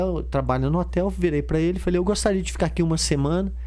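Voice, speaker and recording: A man talks at a very fast pace. Audible room echo and noticeable background noise fill the clip. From Brazil. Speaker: history teacher and traveler. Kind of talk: casual chat; storytelling. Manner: animated.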